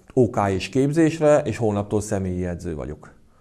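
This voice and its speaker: Against a quiet background, the talking proceeds at a moderate pace. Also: man. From Hungary. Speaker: karate club president and coach. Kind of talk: casual interview. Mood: calm, reflective. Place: gym.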